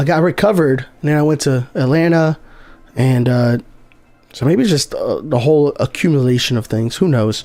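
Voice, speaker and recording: A man with a dark, mellow tone and a fairly high pitch. He speaks at a moderate pace with very even loudness. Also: ordinary pitch variation. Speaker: gaming streamer. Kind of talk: live game stream commentary. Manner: casual, filler-heavy.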